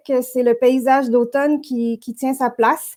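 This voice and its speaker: A woman speaks with a Quebec accent. Her high-pitched voice moves at a fairly slow pace. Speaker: network director and host. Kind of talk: virtual interview show introduction. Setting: virtual broadcast. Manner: hesitant, many filler words.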